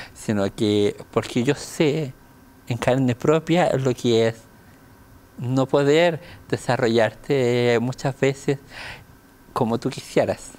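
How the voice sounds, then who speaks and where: A man with a Chilean accent speaks at medium pitch with ordinary pitch variation. His pace is very slow, with long, frequent pauses. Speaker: deaf dancer. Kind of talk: casual chat.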